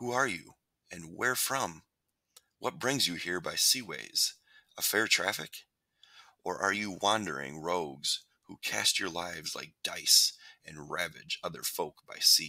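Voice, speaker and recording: Put-on character voice from a man, rumbling and raspy, at a fairly slow pace with long, frequent pauses, on a very clean recording with a silent background. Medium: read story. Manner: gruff, scornful.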